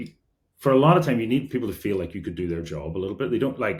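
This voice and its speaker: A mumbling man in a Derry accent, medium in pitch with very wide pitch swings, in a very clean recording with a silent background. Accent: Northern Irish (Derry). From Northern Ireland, Derry. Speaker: engineering executive. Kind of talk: podcast interview. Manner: mumbles; casual, many fillers.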